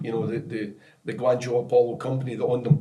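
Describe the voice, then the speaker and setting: A man speaks in a Scottish accent at a medium pitch. His tone is dark and mellow, and somewhat breathy. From Scotland. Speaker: football technical director, former professional player. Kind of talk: podcast interview, storytelling. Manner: animated.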